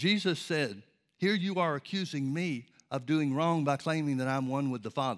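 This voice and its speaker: With an American accent, a man in an ordinary speaking voice talks at a moderate pace and fairly high pitch, with ordinary pitch variation. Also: very clean recording, silent background. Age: 60s. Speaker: preacher. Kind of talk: sermon. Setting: church.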